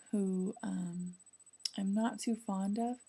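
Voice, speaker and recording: Quiet and somewhat breathy, a woman speaks at a very slow pace with a medium pitch and a dark, mellow tone. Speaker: law student video blogger. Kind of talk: video diary. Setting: apartment at night. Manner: speaking quietly; hesitant, many fillers.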